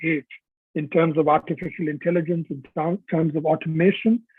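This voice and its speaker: A man's high-pitched voice with fairly even intonation, at a moderate pace. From India. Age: 60s. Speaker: author. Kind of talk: webinar talk. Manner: hesitant, many fillers.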